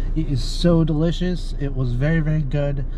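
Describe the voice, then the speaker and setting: At a moderate pace, a man speaks over light background noise in a dry sound with no echo. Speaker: food reviewer. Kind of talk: casual vlog chat. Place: car. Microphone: phone near.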